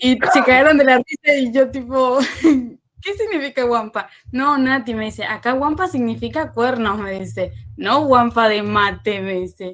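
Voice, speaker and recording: This woman talks at a fairly slow pace. Her high-pitched voice has lively intonation. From Paraguay. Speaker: student. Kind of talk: class discussion.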